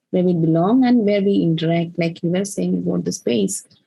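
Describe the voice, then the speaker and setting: A woman speaks with a Keralan accent. Her tone is dark and mellow, and somewhat breathy. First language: Malayalam. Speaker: poet. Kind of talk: casual conversation. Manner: halting, many fillers.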